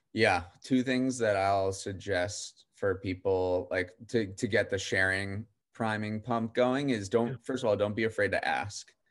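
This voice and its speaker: At a fairly slow pace, a man with an American accent speaks in a plain, everyday voice, fairly low and fairly even in intonation. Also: quiet background. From western Massachusetts. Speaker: newsletter editor. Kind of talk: casual interview.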